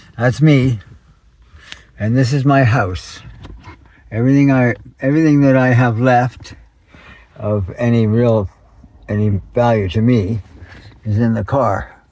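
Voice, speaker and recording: Amid noticeable background noise, a man of medium pitch speaks at a fairly slow pace with ordinary pitch variation and long, frequent pauses. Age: 70s. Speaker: homeless man living in his car. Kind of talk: casual talk to camera.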